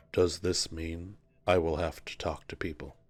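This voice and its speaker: In a put-on character voice, a man uses a very deep, low pitch and monotone, flat intonation at a moderate pace, with big swings in loudness, on a very clean recording with a silent background. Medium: actual play. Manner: formal, stilted, earnest.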